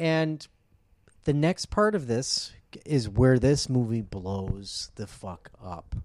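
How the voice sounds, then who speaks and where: The speech is very slow, with very wide pitch swings. The recording is very clean, with a silent background. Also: man. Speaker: podcast co-host. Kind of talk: casual chat. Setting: in person, recording together. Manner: loud.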